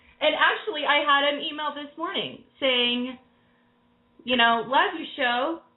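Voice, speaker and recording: Loud and high-pitched, a woman speaks at a fairly slow pace. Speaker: tarot reader radio host. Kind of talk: call-in radio show. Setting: live radio show with callers. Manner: loud and boisterous.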